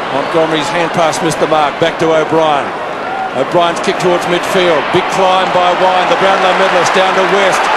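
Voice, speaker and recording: Over loud background noise, a man speaks at a moderate pace in a dry sound with no echo. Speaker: football commentator. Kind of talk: live commentary. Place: stadium.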